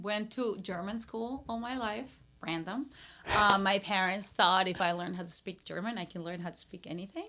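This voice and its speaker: This voice moves at a moderate pace with a Peruvian accent and ordinary pitch variation. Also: woman, medium pitch for a woman. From Peru, Lima. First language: Spanish. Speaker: brand strategist and entrepreneur. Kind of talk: casual interview chat.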